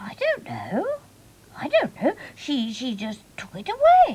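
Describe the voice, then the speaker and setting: A woman speaks in a cartoonish character voice pitched high. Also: fairly slow pace. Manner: bright, eager.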